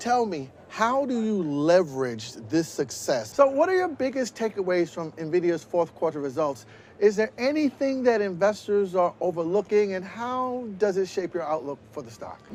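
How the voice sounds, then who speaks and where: Noticeable background noise sits behind a voice moving at a moderate pace with hardly any pauses. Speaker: business news reporter and anchor. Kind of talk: TV news report and interview questions.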